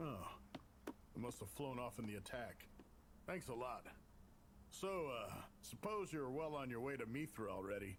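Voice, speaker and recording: Using a put-on character voice at medium pitch, a man talks at a moderate pace with long, frequent pauses over clear background noise. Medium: fan dub. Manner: casual, folksy.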